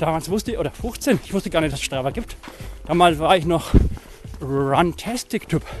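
A man's high-pitched voice broken by long, frequent pauses, over noticeable background noise. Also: lively intonation, moderate pace. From Franconia, Germany. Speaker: running podcast host. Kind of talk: casual chat. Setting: outdoors, walking.

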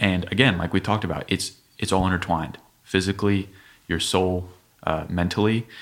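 Speaking fairly quickly with a very deep, low pitch, a man keeps his intonation fairly even while leaving long, frequent pauses. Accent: American. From Dayton, Ohio. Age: young. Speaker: personal trainer. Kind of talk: casual chat.

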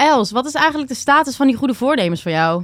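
A woman talks at a fairly high pitch and a moderate pace. Her pitch swings very widely. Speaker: podcast co-host. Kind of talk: casual chat.

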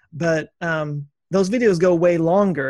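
Fairly high in pitch, a man speaks in a plain, everyday voice with ordinary pitch variation. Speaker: podcast host and YouTuber. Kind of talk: interview, casual chat.

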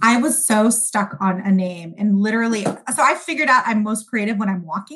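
Here a woman has an ordinary speaking voice with a fairly high pitch. She talks at a fairly quick pace with lively intonation. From Sudan, raised in US. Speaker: food company founder. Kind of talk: interview.

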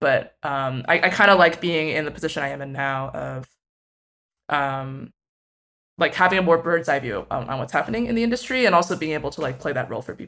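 Recorded very cleanly against a silent background, a woman with a very deep, low pitch and a bright, sharp tone speaks with lively intonation and big swings in loudness. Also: fairly quick pace. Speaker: music tech writer and researcher. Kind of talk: interview conversation. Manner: filler-heavy, casual.

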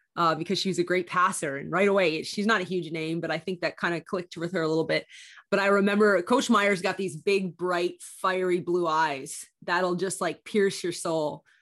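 A woman with a Canadian accent talks in a normal speaking voice at a fairly low pitch and moderate pace, with fairly even intonation, hardly any pauses, and a very clean recording with a silent background. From Canada. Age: 30s. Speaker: basketball broadcaster and former college athlete. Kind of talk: casual interview chat.

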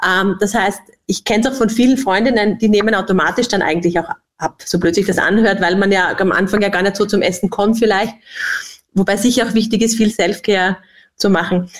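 Talking at a very fast pace, a woman keeps a medium pitch, fairly even intonation and very even loudness. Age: 40s. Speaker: company executive. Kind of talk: podcast interview.

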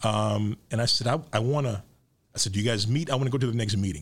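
With an American accent, a man talks at a very fast pace. His voice is somewhat breathy. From Chicago South Side. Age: 50s. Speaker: architecture critic and author. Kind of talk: interview.

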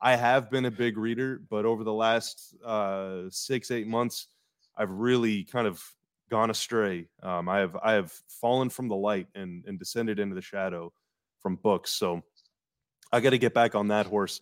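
A man's unremarkable speaking voice, moderate in pace, fairly low in pitch, with fairly even intonation. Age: 30s. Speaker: sports podcast host. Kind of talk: casual chat. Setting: video call from home.

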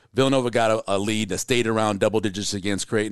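A man with a fairly low voice and an American accent talks at a very fast pace with fairly even intonation over a quiet background. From New York, the Bronx. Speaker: sports podcast host. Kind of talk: interview; casual chat. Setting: hotel room.

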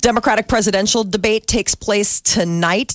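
A woman talks at a moderate pace in a dry, close sound with no echo, with noticeable background noise behind her. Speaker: radio morning show host. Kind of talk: radio talk show banter. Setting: radio studio.

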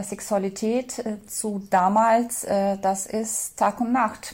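Somewhat breathy, a woman talks at a fairly high pitch in a monotone, flat delivery. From former Soviet Union. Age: 40s. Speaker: interviewee. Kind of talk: interview. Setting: Skype call. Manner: hesitant, many fillers.

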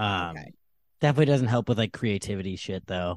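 Heard in a very clean recording with a silent background, a man with a fairly low pitch speaks with ordinary pitch variation. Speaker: comedian. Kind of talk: casual chat.

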